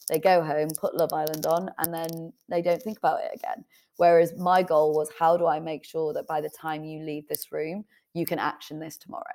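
A woman with a fairly low voice speaks at a fairly quick pace, her intonation fairly even but her loudness swinging widely. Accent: Yorkshire. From northern England, Leeds. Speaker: author and entrepreneur. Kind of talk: interview.

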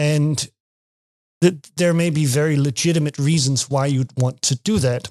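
Fairly high for a man, this voice with a Danish accent keeps a fairly even intonation and very even loudness, sounding dry and close with no echo. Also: moderate pace. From Denmark. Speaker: university lecturer. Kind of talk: podcast interview. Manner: halting, many repetitions.

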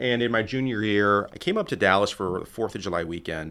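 On a very clean recording with a silent background, a man with an American accent speaks very fast, his bright, sharp voice fairly low in pitch with ordinary variation. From Texas, Laredo. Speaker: tourism and public affairs director. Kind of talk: interview conversation.

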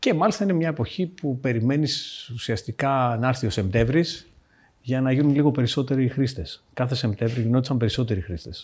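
Somewhat breathy, a man speaks at a fairly quick pace and medium pitch with lively intonation. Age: 40s. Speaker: fintech founder. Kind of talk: casual chat.

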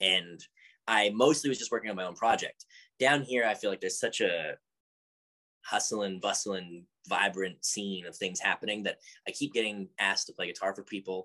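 With a Canadian accent, this is a normal speaking voice at a moderate pace with ordinary pitch variation. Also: man, fairly low pitch for a man. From Canada, Edmonton. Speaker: musician. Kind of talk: casual chat. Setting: video call.

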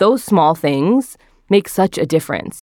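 A woman with a New Jersey accent, in a dry, close sound with no echo and a very clean recording with a silent background. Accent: American, New Jersey. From northern New Jersey. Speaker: recipe developer. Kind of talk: interview.

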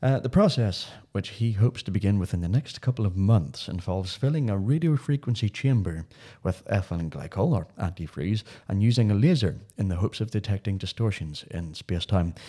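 On a very clean recording with a silent background, a man with a Northern Irish accent speaks fairly quickly in a dark, mellow, somewhat breathy tone with lively intonation. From Northern Ireland. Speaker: podcast host. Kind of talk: casual chat.

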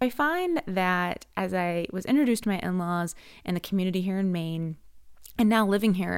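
With an American accent, a woman speaks at a medium pitch and a fairly slow pace in a very clean recording with a silent background. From US Mid-Atlantic, Maryland (Ellicott City). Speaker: podcast host. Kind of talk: podcast introduction monologue. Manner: halting with fillers and restarts.

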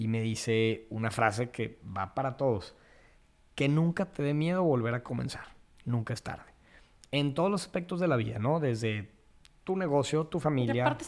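A man with a plain, everyday voice talks at a moderate pace and a medium pitch. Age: 30s. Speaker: landscaper and biophilia advocate. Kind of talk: casual interview.

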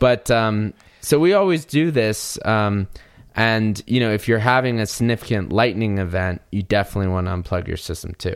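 Speaking at a moderate pace, a man with an American accent has an unremarkable speaking voice, fairly low in pitch, with ordinary pitch variation. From US South, North Carolina. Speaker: podcast host, audio engineer. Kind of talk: casual chat.

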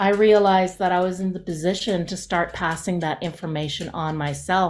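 With a medium pitch and ordinary pitch variation, a woman speaks at a moderate pace on a very clean recording with a silent background. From Canada, northern Alberta (Cree Nation). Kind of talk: interview.

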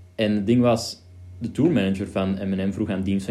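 A man talks at a very fast pace in a fairly low pitch, his intonation fairly even. Music plays in the background, and room echo is audible. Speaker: podcast host, video creator. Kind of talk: casual chat. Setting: home studio.

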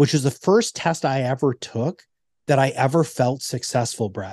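In a dry, close recording with no echo and a quiet background, a man with an ordinary speaking voice talks at a fairly quick pace, medium pitch and ordinary pitch variation. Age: 50s. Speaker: navy veteran, entrepreneur and former business coach. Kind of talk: casual interview.

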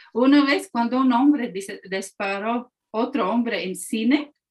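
A woman with a Latvian accent speaks at a fairly high pitch with ordinary pitch variation. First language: Latvian (speaking Spanish). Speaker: historian and museum director. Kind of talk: interview.

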